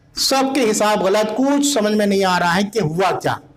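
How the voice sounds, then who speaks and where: A man's high pitch with ordinary pitch variation, under noticeable background noise. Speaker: Shia Islamic scholar and preacher. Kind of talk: Islamic history sermon / religious lecture. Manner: narrative, storytelling delivery.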